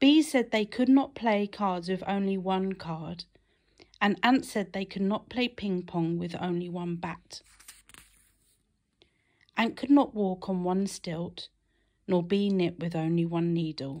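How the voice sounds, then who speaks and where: Against a quiet background, a woman with a British accent speaks at a medium pitch and fairly slow pace, her intonation lively and her pauses long and frequent. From Britain. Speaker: mother. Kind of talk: children's story read-aloud. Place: home room. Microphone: phone near.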